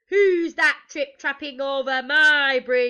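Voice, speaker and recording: A woman puts on a loud, gruff, bellowing character voice pitched high. She goes at a fairly slow pace. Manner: bellowing, loud and gruff.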